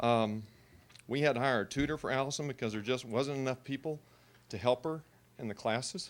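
A man with a Texas accent at a fairly quick pace, ordinary pitch variation, and long, frequent pauses. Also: medium pitch for a man. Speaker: parent. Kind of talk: public comment at board meeting. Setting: public meeting.

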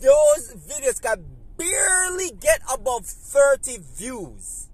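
The recording of a man's voice is dry, with no echo. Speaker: vlogger. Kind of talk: casual vlog chat, opinion commentary. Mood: critical, somewhat frustrated. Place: car. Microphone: phone near.

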